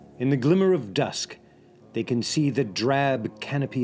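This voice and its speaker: A man's dramatic delivery at a fairly slow pace, with music in the background. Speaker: narrator. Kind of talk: epic historical narration, dramatic scripted storytelling. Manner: vivid, building tension, dramatic and ominous; addresses listener directly, as a guide.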